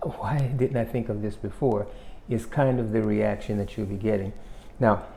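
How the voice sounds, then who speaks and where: There is audible room echo around this man's voice. He talks at medium pitch and a moderate pace, with fairly even intonation. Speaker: self-help YouTuber. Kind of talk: motivational talk.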